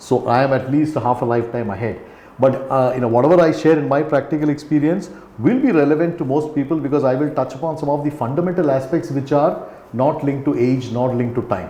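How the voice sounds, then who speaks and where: A man talks at a very fast pace with an Indian accent and a fairly high pitch, varying it in an ordinary way. Audible room echo and noticeable background noise are present. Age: 60s. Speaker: company founder and CEO. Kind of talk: podcast interview. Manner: halting.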